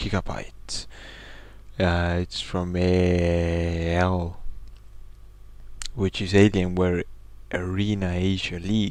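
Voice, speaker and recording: A man speaks quietly in a very deep, low voice, flat and monotone, at a very slow pace with long, frequent pauses. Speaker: game commentator. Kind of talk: esports commentary. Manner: quiet, low volume.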